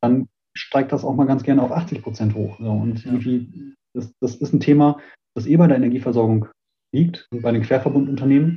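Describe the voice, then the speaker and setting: The man speaks at a fairly quick pace in a medium-pitched voice. He sounds somewhat breathy, with fairly even intonation. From Germany, Münster (Westphalia). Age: 30s. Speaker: smart city association founder. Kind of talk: interview. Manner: calm, quiet; halting, many fillers.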